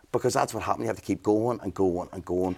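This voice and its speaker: On a very clean recording with a silent background, a man with a fairly low pitch speaks in an energetic tone. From Northern Ireland, Belfast. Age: 40s. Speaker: business mentor and entrepreneur. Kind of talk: casual interview.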